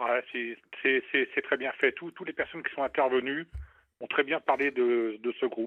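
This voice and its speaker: At a fairly slow pace, a man with a fairly high pitch speaks with fairly even intonation and long, frequent pauses. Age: 60s. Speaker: radio listener, rock fan. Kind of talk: casual chat. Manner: halting.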